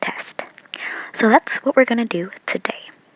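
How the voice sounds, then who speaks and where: A woman's voice swings very widely in pitch, with a dry, close sound with no echo and noticeable background noise. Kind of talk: casual talk to camera, nail tutorial. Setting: home.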